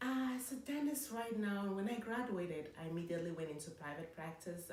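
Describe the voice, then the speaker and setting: A woman's intonation is lively, and noticeable background noise can be heard behind her. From Cameroon. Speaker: dentist. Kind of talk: interview answer. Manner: conversational, hesitant.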